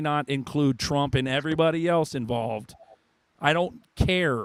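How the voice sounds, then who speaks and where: Animated in tone, a man talks with a fairly high pitch and ordinary pitch variation. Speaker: livestream host. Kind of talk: heated debate. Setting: live stream. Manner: loud.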